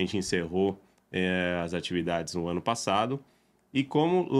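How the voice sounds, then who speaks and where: A man speaks at a moderate pace in a normal speaking voice with lively intonation. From Brazil. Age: 30s. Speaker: real estate agent. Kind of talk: podcast interview. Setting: podcast recording.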